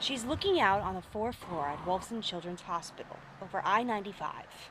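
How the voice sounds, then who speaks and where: A woman with an American accent and an ordinary speaking voice talks fairly quickly at a medium pitch. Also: lively intonation. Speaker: TV news anchor and traffic reporter. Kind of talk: TV news anchor and traffic report delivery. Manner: upbeat, polished.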